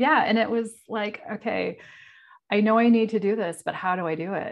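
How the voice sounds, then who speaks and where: A woman with a fairly high pitch, an ordinary speaking voice, at a moderate pace. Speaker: podcaster. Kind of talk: casual interview conversation.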